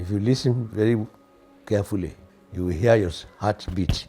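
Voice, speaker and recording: Over music in the background, a man speaks with a Nigerian accent. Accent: Nigerian (Yoruba) English. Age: 80s+. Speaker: composer and organist. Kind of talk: interview.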